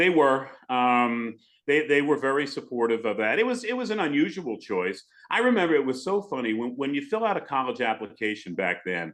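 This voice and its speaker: Against a quiet background, a man talks at a fairly quick pace with very wide pitch swings. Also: medium pitch for a man. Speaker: radio broadcaster. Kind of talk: podcast interview answer.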